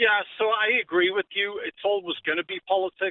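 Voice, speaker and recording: Speaking fairly slowly, a man talks in a British accent. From UK. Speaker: caller. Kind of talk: casual chat. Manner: hesitant, many fillers.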